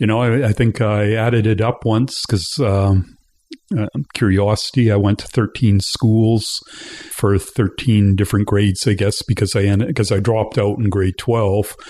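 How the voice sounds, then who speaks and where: At a moderate pace, a man with a western Canadian accent talks in a fairly low pitch with fairly even intonation. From western Canada (British Columbia, Alberta). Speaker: interview guest, community theatre member. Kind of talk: casual interview.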